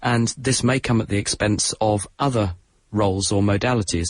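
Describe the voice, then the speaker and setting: A man with a southern English accent talks at a fairly low pitch, his voice somewhat breathy and his intonation fairly even. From southern England. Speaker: science broadcaster. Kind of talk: radio science Q&A.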